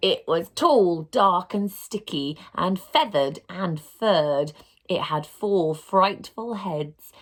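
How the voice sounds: The clip features a natural reading voice throughout.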